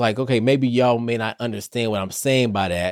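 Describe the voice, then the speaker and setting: A man with an American accent has an ordinary speaking voice at medium pitch, with ordinary pitch variation. He talks at a moderate pace in a very clean recording with a silent background. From Detroit, US Midwest. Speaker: therapist and podcast host. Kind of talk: solo podcast monologue. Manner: casual, conversational.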